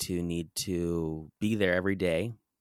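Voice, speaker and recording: Fairly even intonation in an American accent, dry and close with no echo, on a very clean recording with a silent background. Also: man. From US West Coast, San Diego, California. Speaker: author and business coach. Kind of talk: interview conversation.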